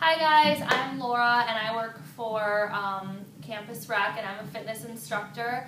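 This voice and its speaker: Noticeable background noise runs behind a woman's voice. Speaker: fitness instructor. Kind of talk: tutorial. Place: gym. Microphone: camera far.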